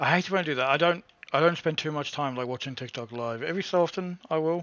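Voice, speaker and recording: With an English accent, a man speaks at a fairly high pitch for a man with ordinary pitch variation. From England. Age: 30s. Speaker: gaming streamer. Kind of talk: live gameplay stream chat. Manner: hesitant, many fillers. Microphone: internet cutting out.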